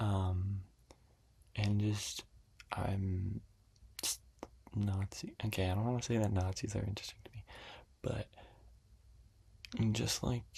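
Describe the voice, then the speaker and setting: Someone whispers at a fairly slow pace. Long, frequent pauses break up the speech. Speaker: ASMR youtuber. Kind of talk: ASMR whispered chat. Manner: whispering.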